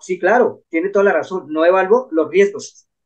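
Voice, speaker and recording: This man has a high-pitched voice. He talks at a moderate pace. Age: 60s. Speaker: Shaolin monk, finance and neuroscience commentator. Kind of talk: interview conversation.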